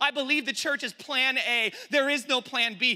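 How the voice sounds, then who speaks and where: A man's raised, projected voice, animated and extremely high in pitch, with an American accent. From San Francisco, California. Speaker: pastor. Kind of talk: sermon. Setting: university chapel with student audience. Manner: loud.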